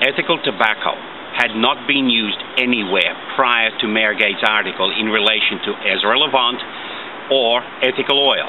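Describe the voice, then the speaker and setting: Noticeable background noise sits behind this man's voice. He talks at a moderate pace with ordinary pitch variation. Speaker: commentator. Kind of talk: commentary. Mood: aggrieved, critical. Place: garden. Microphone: phone near.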